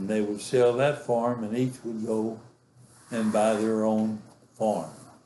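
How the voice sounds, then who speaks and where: Speaking very slowly with a West Texas accent, a man at a medium pitch has a dark, mellow tone and fairly even intonation, with audible room echo. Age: 80s+. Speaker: grandfather telling his life story. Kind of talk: oral history interview. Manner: halting, many fillers.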